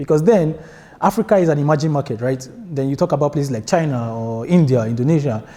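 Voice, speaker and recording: A man with a Nigerian accent, fairly high in pitch, dark and mellow in tone, at a very fast pace with ordinary pitch variation. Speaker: software developer and conference speaker. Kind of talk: tech conference talk. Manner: casual, many filler words.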